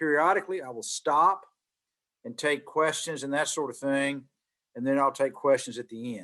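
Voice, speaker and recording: Against a quiet background, a man with a Southern US accent talks at a fairly high pitch and a moderate pace. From Mississippi, US South. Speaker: business executive, guest speaker. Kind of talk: guest lecture. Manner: repetitive stammering starts.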